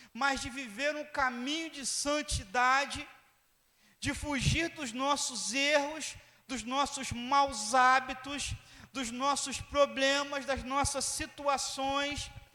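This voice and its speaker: In a raised, projected voice with a bright, sharp tone, a man speaks at an extremely high pitch and a very slow pace in a flat monotone, with audible room echo around him. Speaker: pastor. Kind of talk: sermon.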